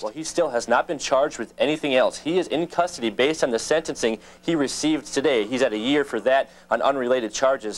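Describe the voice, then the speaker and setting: This man's pitch is fairly high, with ordinary variation. He talks at a very fast pace. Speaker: TV news reporter. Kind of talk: TV news report.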